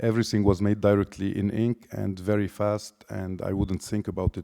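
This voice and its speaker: A dark, mellow voice in a Lebanese accent, flat and monotone, at a moderate pace, on a very clean recording with a silent background. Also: man, dry, close sound with no echo. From Lebanon. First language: Lebanese Arabic. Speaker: artist. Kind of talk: artist talk. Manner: halting.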